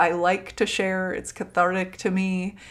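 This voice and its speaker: A woman with an American accent at a fairly slow pace, on a very clean recording with a silent background. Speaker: podcast host. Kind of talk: casual monologue. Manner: frequent use of 'like'.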